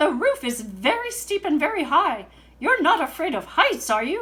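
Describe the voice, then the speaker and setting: Putting on a character voice, a woman speaks at a moderate pace in an extremely high pitch with very wide pitch swings. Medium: read story. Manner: formal, stiff.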